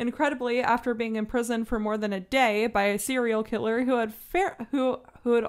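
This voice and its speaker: This is an ordinary speaking voice. The pace is fairly quick. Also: woman. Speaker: podcast co-host. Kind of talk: casual chat.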